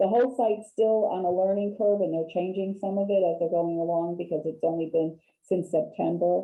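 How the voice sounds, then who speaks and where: A woman in a plain, everyday voice, fairly low in pitch, at a fairly quick pace with hardly any pauses and fairly even intonation. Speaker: real estate agent, HUD specialist presenter. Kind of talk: training webinar presentation.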